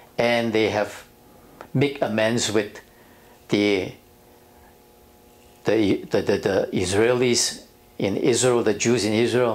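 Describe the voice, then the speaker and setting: A man at a very slow pace, with long, frequent pauses, fairly even intonation and very even loudness. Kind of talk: interview answer. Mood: serious, reflective. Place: office. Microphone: lapel.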